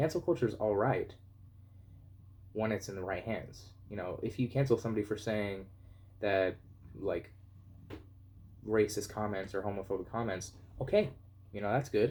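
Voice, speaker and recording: A man's somewhat breathy voice, fairly low in pitch, with fairly even intonation at a moderate pace. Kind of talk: opinion video essay. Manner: monotone.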